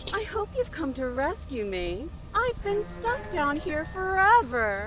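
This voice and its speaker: A put-on character voice, female-sounding and high-pitched for a woman, at a fairly slow pace over loud background noise. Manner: sarcastic.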